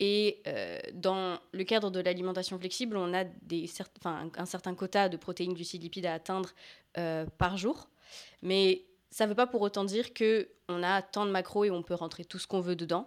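Recorded very cleanly against a silent background, a woman at medium pitch uses fairly even intonation in an unremarkable speaking voice. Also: moderate pace. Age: 20s. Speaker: fitness coach. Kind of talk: casual chat.

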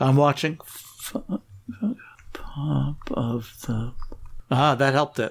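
A man speaks at a very slow pace and a fairly high pitch with ordinary pitch variation. There is noticeable background noise. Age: 50s. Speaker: host's father. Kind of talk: casual chat. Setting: remote call recording.

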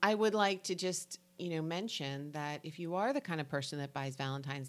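Speaking at a very fast pace, a woman with a New Jersey accent has a very deep, low pitch. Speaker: local community podcast co-host. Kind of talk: casual chat; reading an events calendar.

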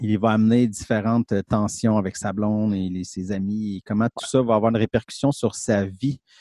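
A man's fairly low, dark, mellow voice in a Quebec accent at a moderate pace, with fairly even intonation, hardly any pauses, and a dry, close sound with no echo. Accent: Québécois French. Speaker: film podcast co-host. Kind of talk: casual chat.

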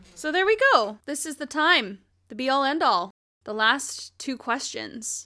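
In a very clean recording with a silent background, a woman speaks at a fairly slow pace in a raised, projected voice. Her high pitch swings very widely, her tone is bright and sharp, and her loudness varies greatly. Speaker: podcast co-host. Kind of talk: casual chat reviewing a musical. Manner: laughs often.

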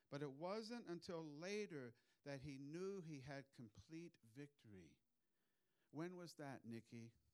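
A man's fairly high voice carries lively intonation. He leaves long, frequent pauses. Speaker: preacher. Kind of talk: sermon. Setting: church. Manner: loud.

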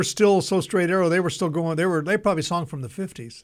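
Recorded very cleanly over a silent background, a man with an American accent speaks at a high pitch with ordinary pitch variation. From Southern California. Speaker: radio show host. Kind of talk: casual chat.

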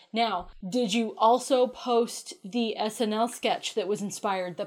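On a very clean recording with a silent background, a woman speaks fairly slowly in a plain, everyday voice with fairly even intonation. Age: 30s. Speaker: podcast co-host. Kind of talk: casual chat.

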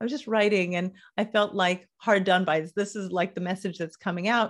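With an American accent, a woman speaks in an unremarkable speaking voice at medium pitch and a moderate pace, her intonation fairly even, on a very clean recording with a silent background. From US, Los Angeles. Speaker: money and business mentor. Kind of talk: interview.

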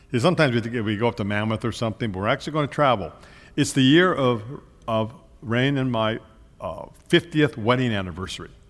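A man talks at a very fast pace. His medium-pitched voice has lively intonation. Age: 70s. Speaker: pastor. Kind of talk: sermon.

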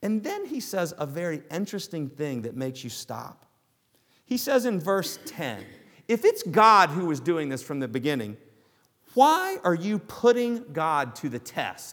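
In a Southern US accent, a man with a high pitch speaks at a fairly slow pace with very wide pitch swings. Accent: Southern US, noticeable. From US South. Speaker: pastor. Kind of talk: sermon. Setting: church.

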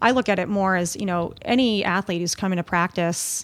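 In a plain, everyday voice, a woman at medium pitch speaks at a fairly quick pace with ordinary pitch variation. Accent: American. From Long Island, New York. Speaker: rowing coach. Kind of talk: casual interview.

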